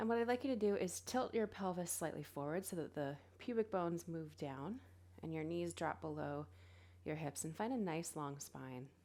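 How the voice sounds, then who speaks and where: The tone is dark, mellow and calm. Intonation is lively, and the pace is moderate. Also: woman, fairly low pitch for a woman. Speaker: yoga teacher. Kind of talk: guided yoga class. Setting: live online class.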